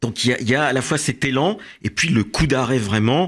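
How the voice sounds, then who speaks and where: This man talks rather slowly, his intonation lively. Behind him, the background is quiet. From France. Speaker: author and immigration agency director; guest. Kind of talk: radio interview; interview answer. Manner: halting, many hesitations. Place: studio. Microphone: studio mic.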